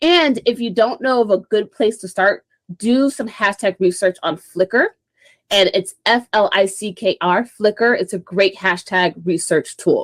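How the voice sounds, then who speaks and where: In a very clean recording with a silent background and a dry, close sound with no echo, a woman with a normal speaking voice talks at a medium pitch and a fairly slow pace, with ordinary pitch variation. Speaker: social media marketing speaker. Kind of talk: presentation talk.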